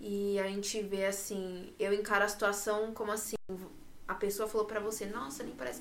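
A woman speaks with fairly even intonation over noticeable background noise and audible room echo. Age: 20s. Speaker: podcast host. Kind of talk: casual chat.

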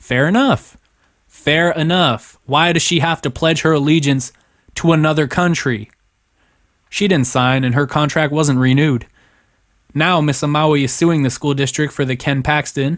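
Ordinary pitch variation from a man with an American accent. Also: very clean recording, silent background. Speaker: political commentary YouTuber. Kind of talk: news commentary monologue. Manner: casual, unscripted one take.

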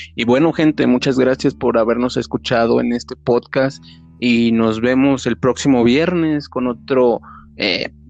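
This man has an unremarkable speaking voice, medium in pitch with ordinary pitch variation, and talks at a fairly slow pace. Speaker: podcast host. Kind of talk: casual interview.

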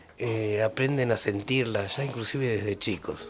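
A man speaks at a fairly slow pace in a normal speaking voice. His pitch varies in an ordinary way. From Argentina, Buenos Aires province. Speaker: musician. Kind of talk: radio interview.

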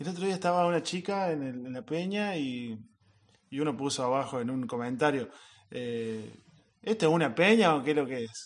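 A man talks at a moderate pace in a plain, everyday voice. His pitch sits fairly high, with lively intonation. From Córdoba hills, Argentina. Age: 30s. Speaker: musician. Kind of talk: interview.

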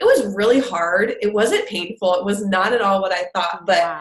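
With hardly any pauses, a woman talks in a medium pitch. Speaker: business coach. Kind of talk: interview testimony. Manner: tends to mumble some words.

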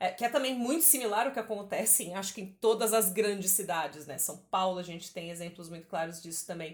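A woman at medium pitch races along at a very fast pace with hardly any pauses, her intonation lively and her loudness swinging widely. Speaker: podcast host. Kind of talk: casual chat.

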